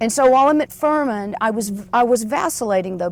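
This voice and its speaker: A woman talks at a very fast pace with lively intonation. She has an American accent. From US South, Anderson, South Carolina. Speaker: author, former broadcaster. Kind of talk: interview conversation. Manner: animated.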